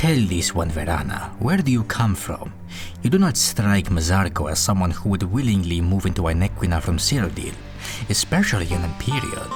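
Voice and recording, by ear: Over loud music in the background, a man uses a put-on character voice with a very deep, low pitch at a fairly quick pace.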